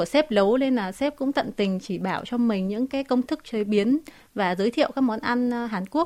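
Nothing can be heard behind the voice in this very clean recording. The delivery is moderately paced. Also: woman. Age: 20s. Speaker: TikTok cooking creator. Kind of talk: radio interview. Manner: halting, frequent fillers.

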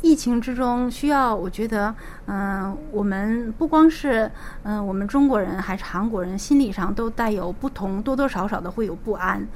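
A woman speaks at a fairly high pitch, with noticeable background noise behind her. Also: ordinary pitch variation, moderate pace. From Liaoning, northeast China. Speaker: pharmacist. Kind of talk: interview.

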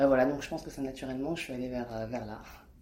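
Audible room echo surrounds a woman's voice. She speaks with a very deep, low pitch and fairly even intonation. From France. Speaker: artist and illustrator. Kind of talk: interview. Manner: hesitant, many fillers.

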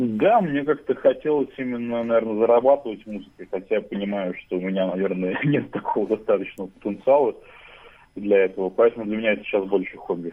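A man with a medium-pitched voice talks very fast, his pitch varying in an ordinary way. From Russia, Saint Petersburg. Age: 20s. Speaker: radio listener and musician. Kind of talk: interview. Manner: halting.

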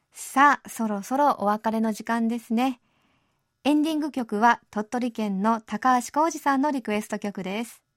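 Speaking in a plain, everyday voice, a woman talks at a moderate pace and fairly high pitch with ordinary pitch variation, the sound dry and close with no echo on a very clean recording with a silent background. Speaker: radio host. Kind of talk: radio show hosting. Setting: studio. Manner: cheerful, friendly.

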